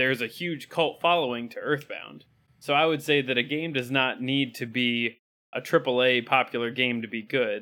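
A man speaks in a plain, everyday voice at a medium pitch and a moderate pace. His intonation stays fairly even. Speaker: podcast host. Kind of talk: casual banter, video game podcast.

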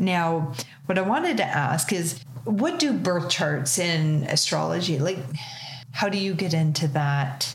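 A fairly low-pitched woman with a Canadian accent, fairly slow and very even in loudness, with ordinary pitch variation and noticeable background noise. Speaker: podcast host. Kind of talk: casual chat. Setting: on location at guest's space.

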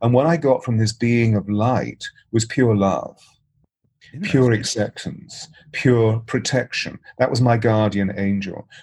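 A man with an English accent speaks at a medium pitch, somewhat breathy. His pace is fairly slow and his intonation fairly even. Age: 60s. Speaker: voice and presence coach. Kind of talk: interview. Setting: remote call.

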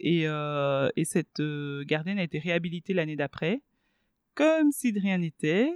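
A normal speaking voice from a woman, fairly low in pitch with ordinary pitch variation, at a fairly slow pace, in a dry, close sound with no echo. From Belgium (Brussels), born in DR Congo. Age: 30s. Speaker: journalist and radio host. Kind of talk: casual interview.

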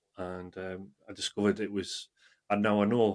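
With a North East England accent, a man speaks in monotone, flat intonation, captured in a dry, close sound with no echo. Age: 40s. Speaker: amateur runner. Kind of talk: casual chat.

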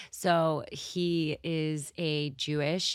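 In a Montreal accent, a woman speaks with fairly even intonation in a very clean recording with a silent background. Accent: Canadian English, Montreal. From Montreal, Canada. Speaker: singer. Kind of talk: interview conversation.

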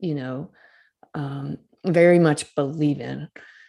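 A woman with a Southern US accent speaks with a very deep, low pitch and a dark, mellow tone in a very clean recording with a silent background. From Mississippi, US South. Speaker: author and storytelling coach. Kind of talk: casual interview.

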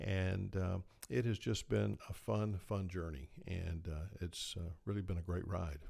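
Very deep and low, a man's somewhat breathy voice with a dark, mellow tone moves at a fairly slow pace with ordinary pitch variation. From South Georgia. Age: 60s. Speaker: podcast co-host, healthcare executive. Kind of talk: casual interview-style podcast chat.

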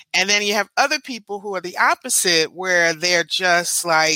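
With a bright, sharp tone and a fairly low pitch, a woman talks at a moderate pace with ordinary pitch variation in a dry, close recording with no echo. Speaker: podcast co-host. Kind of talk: interview.

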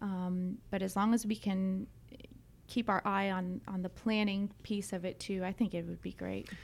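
In an American accent, a woman speaks at a moderate pace with a monotone, flat intonation. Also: medium pitch for a woman. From US South, Atlanta area (Georgia). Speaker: business owner, company CEO. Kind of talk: interview.

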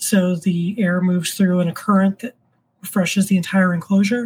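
This woman has a medium-pitched, somewhat breathy voice, speaking at a moderate pace with monotone, flat intonation. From Florida, Orlando. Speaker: tarantula keeper and YouTuber. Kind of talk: casual interview chat.

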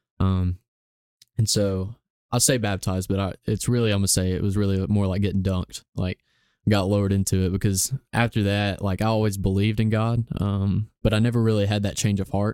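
A man with an Alabama accent, fairly low in pitch with a dark, mellow tone, monotone, flat intonation, very even loudness and a fairly quick pace, in a dry, close sound with no echo and a very clean, silent background. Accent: Southern US (Alabama). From US South, Gadsden, Alabama. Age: young. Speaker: barista and photographer. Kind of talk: casual interview.

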